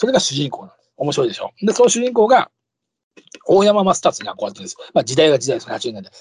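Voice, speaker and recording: Animated and very fast, a man talks with big swings in loudness. The sound is dry and close, with no echo. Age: 50s. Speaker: podcast host, comedian and actor. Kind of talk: casual monologue.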